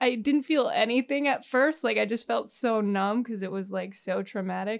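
A woman speaks with an American accent at a fairly high pitch. Her pitch varies in an ordinary way. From US Northeast, Poconos, Pennsylvania. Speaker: comedian. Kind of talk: casual interview chat.

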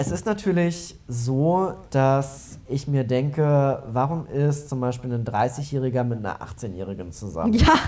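The speaking pace is very slow. There is noticeable background noise. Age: 30s. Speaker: podcast co-host, student. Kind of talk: casual chat.

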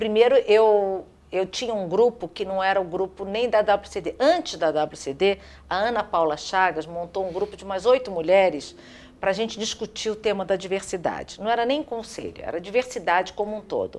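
This woman speaks with a Carioca accent. Her pace is moderate. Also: medium pitch for a woman, ordinary pitch variation. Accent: carioca Brazilian Portuguese. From Rio de Janeiro, Brazil. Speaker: business executive and board member. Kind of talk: interview.

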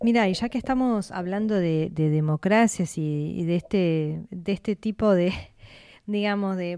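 Recorded very cleanly against a silent background, a woman speaks fairly slowly at a medium pitch, with a dark, mellow tone and ordinary pitch variation. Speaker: radio host. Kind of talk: radio talk show.

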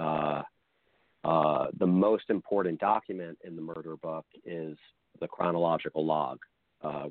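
This man has a very deep, low pitch and fairly even intonation, and he speaks at a fairly slow pace. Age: 40s. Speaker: journalist and author. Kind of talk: interview.

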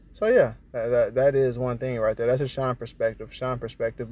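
Medium-pitched male speech, fairly quick in pace. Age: 20s. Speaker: motivational podcast host. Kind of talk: motivational monologue. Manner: animated.

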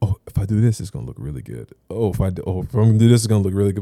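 In an American accent, a man with a fairly low pitch and a dark, mellow tone speaks with ordinary pitch variation, in dry, close sound with no echo and a very clean recording with a silent background. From South Florida, Haitian heritage. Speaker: podcast co-host and photographer. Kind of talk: casual chat.

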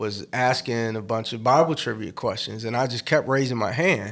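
Recorded very cleanly against a silent background, a man with an American accent speaks in an unremarkable speaking voice at medium pitch, moderate pace and ordinary pitch variation. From US Midwest, South Side of Chicago. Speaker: pastor and musician. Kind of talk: interview conversation.

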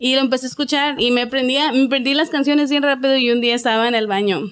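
Very fast speech comes from a woman with a high pitch. Her pitch varies in an ordinary way. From Ciudad Juárez, Chihuahua, Mexico. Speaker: singer. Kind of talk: interview.

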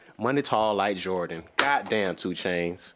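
Speaking at a fairly slow pace, a man swings very widely in pitch. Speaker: podcast co-host. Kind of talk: casual banter, crude humor. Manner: teasing, joking.

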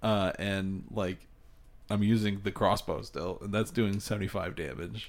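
A man's fairly low voice, very slow and fairly even in intonation. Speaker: podcast co-host. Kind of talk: casual chat.

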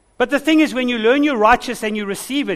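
Pitched extremely high, a man speaks in an animated tone at a fairly quick pace. His pitch varies an ordinary amount. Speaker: pastor. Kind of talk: sermon, energetic call-and-response preaching with repeated 'say amen' prompts. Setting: church with a live congregation. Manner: animated, exhorting, rhythmic, urging the congregation to repeat after him.

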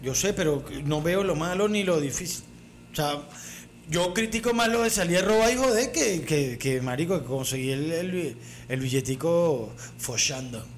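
A man with a fairly high voice speaks fairly slowly, his pitch swinging very widely. Audible room echo is present. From Venezuela. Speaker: comedy podcast co-host. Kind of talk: casual chat.

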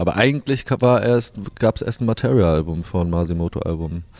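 A man's very deep, low voice, dark and mellow in tone, with lively intonation at a moderate pace. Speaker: DJ and music producer. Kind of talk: casual interview chat. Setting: hotel lobby.

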